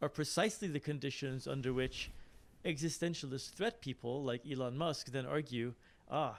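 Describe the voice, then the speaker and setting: In a very clean recording with a silent background, a man with an unremarkable speaking voice talks at a moderate pace, his medium pitch showing ordinary pitch variation. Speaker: academic questioner at a conference. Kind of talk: Q&A question after a talk.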